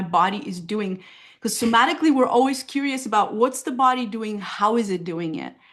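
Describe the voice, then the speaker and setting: A woman's fairly high voice with lively intonation and a Bulgarian accent. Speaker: somatic therapist. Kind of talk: casual interview.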